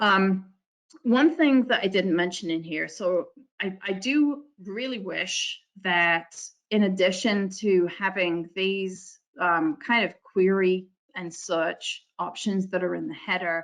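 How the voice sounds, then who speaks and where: A woman speaks with a medium pitch and ordinary pitch variation. Her pace is very slow. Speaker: software consultant presenter. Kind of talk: webinar software demo. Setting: online webinar.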